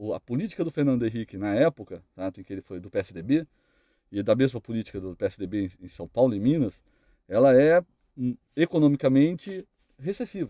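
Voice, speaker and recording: A man's medium-pitched, dark, mellow voice with very wide pitch swings, against a quiet background. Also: dry sound with no echo. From Brazil. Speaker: police detective; guest. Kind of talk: panel debate. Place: studio. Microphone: studio mic.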